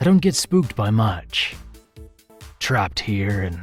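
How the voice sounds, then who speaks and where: A man's gravelly, whispered put-on character voice at a fairly slow pace, with faint music in the background. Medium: voice reel. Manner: calm, cool, collected.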